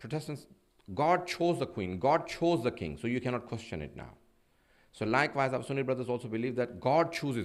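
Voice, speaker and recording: A man with vocal fry talks at a fairly quick pace with lively intonation. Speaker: Islamic preacher. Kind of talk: sermon. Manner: fast.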